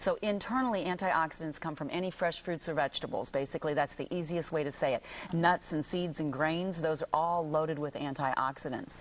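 Speaking at a fairly quick pace, a woman with a fairly low pitch uses ordinary pitch variation. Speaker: naturopath and skincare company CEO. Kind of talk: TV morning show interview. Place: studio.

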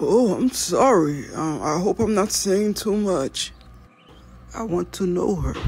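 This cartoonish character voice moves slowly with lively intonation. Its tone is slightly mellow with a slightly husky edge.

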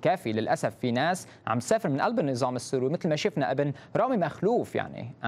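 Intonation stays lively as the speaker keeps to a moderate pace. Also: man. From Syria, Banias; Syria. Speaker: human rights activist; interview guest. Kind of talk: interview testimony. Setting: satellite video link. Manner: informal. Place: studio. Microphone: lapel.

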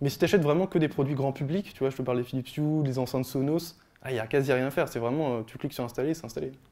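A man's dark, mellow tone at a very fast pace, with fairly even intonation. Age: 20s. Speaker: software developer giving a tech talk; speaker. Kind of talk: presentation talk. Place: hall. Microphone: handheld.

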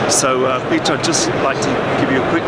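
Loud background noise fills the clip. Through it, a man talks at a moderate pace. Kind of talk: interview answer. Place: hall.

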